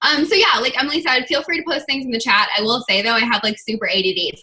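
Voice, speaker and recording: A raised, projected voice with a bright, sharp tone and very wide pitch swings. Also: woman. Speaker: online fitness coach giving a talk. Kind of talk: team video call presentation. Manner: fast.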